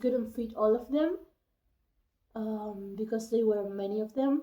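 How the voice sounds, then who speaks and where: A woman's fairly high-pitched voice with a dark, mellow tone, ordinary pitch variation and a non-native accent. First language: not English. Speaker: youtuber. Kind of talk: casual vlog with reading aloud. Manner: halting, with hesitations.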